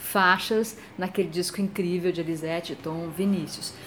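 Noticeable background noise around a woman at medium pitch, speaking at a fairly slow pace. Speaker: radio host. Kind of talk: interview.

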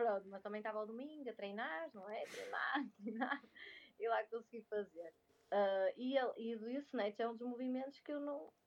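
At a moderate speed and with ordinary pitch variation, an unremarkable speaking voice carries on. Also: woman, fairly high pitch for a woman. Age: 20s. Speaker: speech therapist and crossfit athlete. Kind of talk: casual interview.

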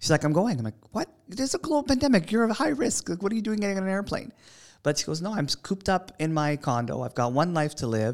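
Over a very clean recording with a silent background, a man with a Canadian accent talks at a very fast pace. His pitch is high and swings very widely. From Toronto, Canada. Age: 20s. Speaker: TV co-host. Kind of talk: casual chat.

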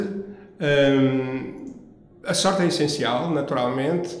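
A man talks with ordinary pitch variation. Noticeable background noise and audible room echo run through the clip. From Angola. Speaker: lawyer and entrepreneur. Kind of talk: interview. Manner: formal.

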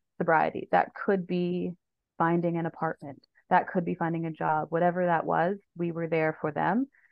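A woman with a Canadian accent, a normal speaking voice, fairly low in pitch, with fairly even intonation and a moderate pace. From Ontario, Canada (Sault Ste. Marie). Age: 30s. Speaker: harm reduction advocate. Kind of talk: casual interview.

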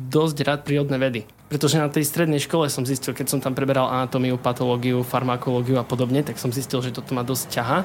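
A man with a fairly high pitch talks at a fairly quick pace while noticeable background noise runs behind him. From eastern Slovakia, Košice. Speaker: chemistry student. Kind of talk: casual interview. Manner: halting, many fillers.

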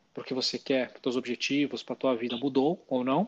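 Heard against a quiet background, a man talks at a fairly quick pace in a fairly high pitch, a plain, everyday voice with a dry, close sound and no echo. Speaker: finance podcast co-host. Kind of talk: casual explanatory chat.

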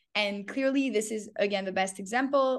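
Over a quiet background, a woman with an unremarkable speaking voice talks at a moderate pace, her fairly high pitch showing ordinary variation. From Canada. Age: 20s. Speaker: entrepreneur. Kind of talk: casual chat.

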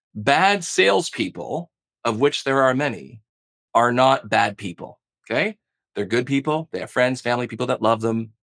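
With lively intonation and a plain, everyday voice, a man talks at medium pitch and a moderate pace, the sound dry and close with no echo. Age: 40s. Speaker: sales trainer. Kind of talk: interview.

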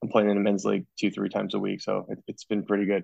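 A man speaks in an American accent. His fairly low voice has vocal fry. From New Jersey. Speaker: physical therapist. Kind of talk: casual interview.

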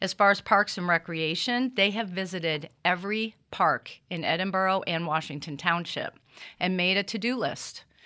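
At a moderate pace, a speaker with an American accent delivers a bright, sharp tone and ordinary pitch variation on a very clean recording with a silent background. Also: woman, medium pitch for a woman. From US Midwest, Cleveland, Ohio. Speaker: small business owner and community board member. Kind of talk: interview. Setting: studio.

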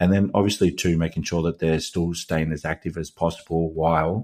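On a very clean recording with a silent background, a man with an Australian accent speaks at a moderate pace in a very deep, low voice. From Australia, Melbourne. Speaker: podcast host, fitness coach and former boxer. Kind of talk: casual chat.

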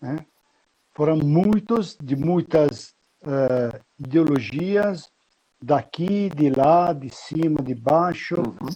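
In an Italian accent, a man speaks at a very slow pace, his fairly high pitch carrying a dark, mellow tone and ordinary pitch variation. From Italy (Pistoia, Tuscany). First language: Italian (speaking Portuguese). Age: 60s. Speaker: military history guide and lecturer. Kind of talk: interview.

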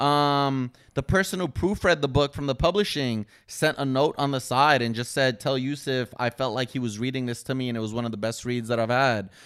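A man speaks in a plain, everyday voice of medium pitch, at a fairly quick pace with hardly any pauses. His pitch varies in an ordinary way, on a very clean recording with a silent background. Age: 30s. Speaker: YouTuber and boxer. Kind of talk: casual chat.

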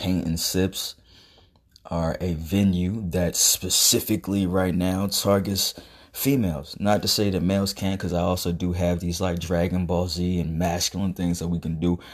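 On a very clean recording with a silent background, a man speaks at a moderate pace in a very deep, low pitch with monotone, flat intonation. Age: 30s. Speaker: podcast host and artist entrepreneur. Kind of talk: casual monologue. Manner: rambling with many fillers.

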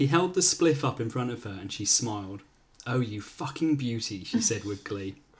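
A natural reading voice is heard here. Its intonation is lively.

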